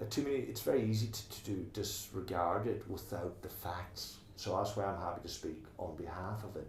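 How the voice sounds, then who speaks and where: A man's very deep, low voice in an Irish accent, at a moderate pace with ordinary pitch variation and hardly any pauses, with audible room echo and noticeable background noise. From Ireland, Northwest Donegal Gaeltacht. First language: Irish Gaelic. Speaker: tower block resident and committee member. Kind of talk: oral history interview. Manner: halting, repeats words.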